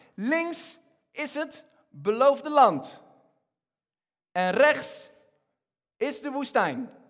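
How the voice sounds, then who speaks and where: With audible room echo, a man talks very slowly at an extremely high pitch, leaving long, frequent pauses. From Egypt. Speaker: preacher. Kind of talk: sermon. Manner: halting.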